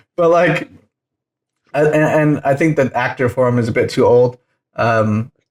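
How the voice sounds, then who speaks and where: A man's fairly high voice, ordinary pitch variation, very even loudness and long, frequent pauses. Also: moderate pace. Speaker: podcast host. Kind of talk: casual chat. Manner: animated; quieter.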